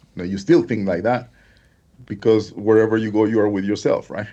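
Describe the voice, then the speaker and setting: Pitched in the medium range, a man talks with a Spanish accent. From Honduras. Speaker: affiliate marketer. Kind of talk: interview.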